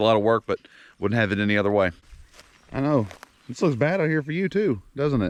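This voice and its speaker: Speaking at a very fast pace with an American accent, a man uses a medium pitch and very wide pitch swings. He leaves long, frequent pauses. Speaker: homesteader vlogger. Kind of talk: casual vlog talk. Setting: outdoors.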